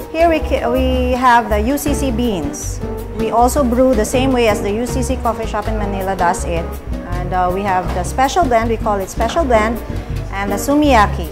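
Clear music plays in the background as the speech goes at a moderate pace. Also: woman. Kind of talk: interview answer. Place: cafe.

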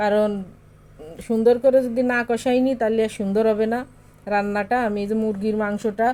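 Her tone dark and mellow, a woman speaks at a fairly high pitch with monotone, flat intonation. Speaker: cooking vlogger, mother. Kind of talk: cooking vlog narration. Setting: home kitchen. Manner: casual, chatty.

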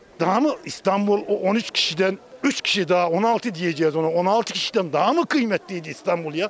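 In a dry sound with no echo and light background noise, a man with a high pitch and ordinary pitch variation talks at a moderate pace with very even loudness. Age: 50s. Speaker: street interviewee. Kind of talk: street interview opinion. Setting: outdoors. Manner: animated. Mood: critical, animated political opinion. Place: street. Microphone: handheld.

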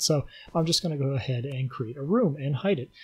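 The clip has a normal speaking voice on a very clean recording with a silent background. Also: man. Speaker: video game player and commentator. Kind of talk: angry gaming rant, sarcastic commentary over gameplay footage. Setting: recorded late at night at home, voiceover on gameplay. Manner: sarcastic, increasingly furious, heavily profane, bitter and sneering; sardonic, deadpan setup that builds into shouting.

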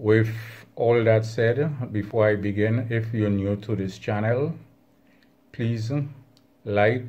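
At a very slow pace, a man speaks in a fairly low pitch with a dark, mellow, somewhat breathy tone and fairly even intonation. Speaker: hobbyist channel host. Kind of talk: casual vlog chat. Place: home room.

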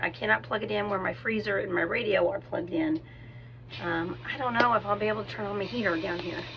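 Against noticeable background noise, a woman talks at a very fast pace. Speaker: vlogger. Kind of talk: casual vlog chat. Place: garage. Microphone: phone near.

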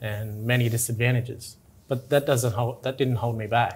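A man speaks in an Australian accent with a somewhat breathy voice. His intonation is flat and monotone. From Tingha, New South Wales, Australia. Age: young. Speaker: interviewee. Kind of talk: interview answer. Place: office. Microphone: lapel.

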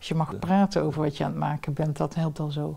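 Against a quiet background, a woman speaks with a very deep, low pitch. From southern Netherlands, Limburg; Netherlands. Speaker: professor. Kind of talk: interview. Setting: at home. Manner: talkative. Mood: calm, reflective, smiling. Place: home room.

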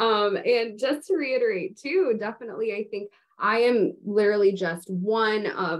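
The woman's intonation is lively throughout. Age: 20s. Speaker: patient advocate and incoming medical student. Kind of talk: educational panel discussion. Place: home room. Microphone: video call.

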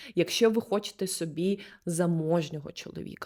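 A woman with a fairly low pitch speaks in a normal speaking voice with ordinary pitch variation. The recording is very clean, with a silent background. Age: 20s. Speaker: video blogger and body-oriented therapist. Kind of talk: casual advice monologue. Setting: recorded on the spot.

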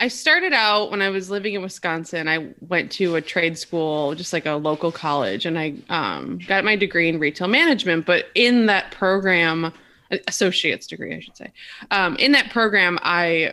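A woman talks at a moderate pace with a fairly low pitch. Her tone is bright and sharp, and her pitch varies in an ordinary way. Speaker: podcast guest. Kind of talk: interview answer. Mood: relaxed, lightly amused. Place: home room.

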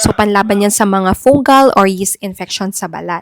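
A woman's ordinary speaking voice at medium pitch, with ordinary pitch variation and a dry, close sound with no echo. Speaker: doctor giving health advice. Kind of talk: health advice video.

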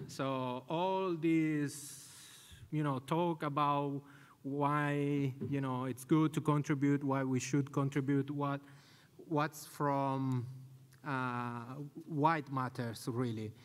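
Speaking at a very slow pace, this man has a fairly high pitch and fairly even intonation. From Italy. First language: Italian. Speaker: conference speaker, community event organizer; conference speaker. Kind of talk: conference talk. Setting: stage with audience. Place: hall. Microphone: podium.

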